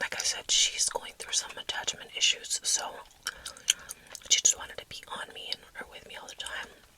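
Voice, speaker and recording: A woman whispers with an American accent. Noticeable background noise is audible behind her. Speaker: mother of four. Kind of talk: ASMR whispered ramble. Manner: whispered, soft.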